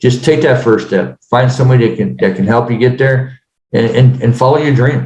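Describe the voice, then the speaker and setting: Somewhat breathy and dark, mellow in tone, a man speaks at medium pitch and a fairly quick pace with fairly even intonation. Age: 60s. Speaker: real estate business owner. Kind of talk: podcast interview. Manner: halting, many fillers.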